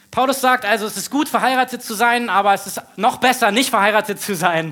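Man's raised, projected voice with a bright, sharp tone and a fairly quick pace. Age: 30s. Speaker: pastor. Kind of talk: sermon. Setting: church stage with audience.

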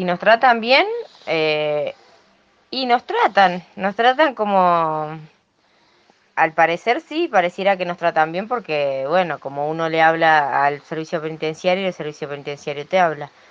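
A woman's fairly low voice, at a fairly slow pace with ordinary pitch variation. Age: 30s. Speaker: prison inmate. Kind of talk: testimony. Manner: halting.

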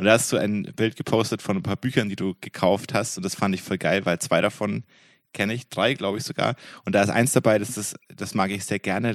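A man with an unremarkable speaking voice and a fairly low pitch speaks at a fairly quick pace, recorded with a dry, close sound with no echo against a quiet background. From Franconia. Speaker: podcast host. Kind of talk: casual chat.

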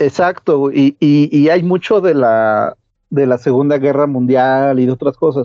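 A plain, everyday voice at a fairly slow pace, with ordinary pitch variation and very even loudness. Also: man, fairly high pitch for a man. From central Mexico (Toluca, State of Mexico). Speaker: podcaster. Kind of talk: casual chat.

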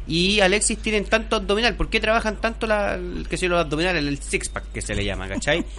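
Speaking at a fairly quick pace, a man is heard with noticeable background noise. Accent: Chilean. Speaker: sports journalist and author. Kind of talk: casual chat. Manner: halting.

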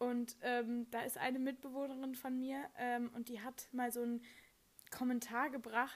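High-pitched woman in a monotone, flat intonation. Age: young. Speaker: psychology student and podcast co-host. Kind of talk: casual chat.

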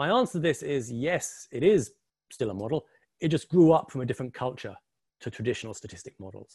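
A very fast, somewhat breathy male voice with an English accent, medium in pitch, with lively intonation and big swings in loudness, over a quiet background. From England. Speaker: quant, model risk expert. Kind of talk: webinar presentation.

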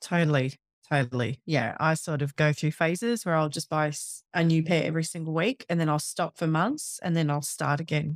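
The speaker has an Australian accent and talks at a fairly quick pace. The sound is dry and close, with no echo. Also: woman, very deep, low pitch for a woman, ordinary pitch variation. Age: 30s. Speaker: personal trainer and podcaster. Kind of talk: casual interview chat. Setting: home office recording.

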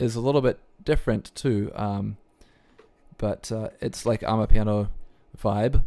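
Speaking at a moderate pace, the man has a dark, mellow tone. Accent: New Zealand. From New Zealand. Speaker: podcast host and DJ. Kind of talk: casual interview chat.

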